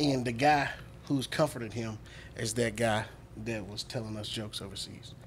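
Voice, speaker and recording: A man with a Southern US accent at a moderate pace, long, frequent pauses, and light background noise. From US South. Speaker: comedian and military veteran. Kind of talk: casual chat. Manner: animated. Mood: animated, amused storytelling. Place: studio. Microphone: studio mic.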